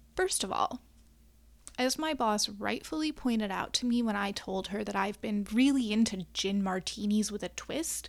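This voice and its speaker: A woman speaks with a US Midwestern accent at a fairly high pitch and ordinary pitch variation. Her pace is moderate, and the recording is very clean with a silent background. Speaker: podcast host and astrologer. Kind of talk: casual solo monologue. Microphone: new USB microphone with wind guard.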